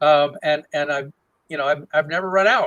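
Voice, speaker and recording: Bright and sharp in tone, a man talks very fast at a fairly high pitch with fairly even intonation. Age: 60s. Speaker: archaeology professor. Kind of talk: casual interview conversation. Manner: halting, many repetitions and fillers.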